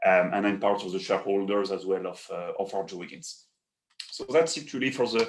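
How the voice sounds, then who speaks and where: A man with a French accent speaks at a fairly quick pace, with a fairly low pitch. His pitch variation is ordinary, while his loudness swings widely. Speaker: paper industry executive. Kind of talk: webinar presentation.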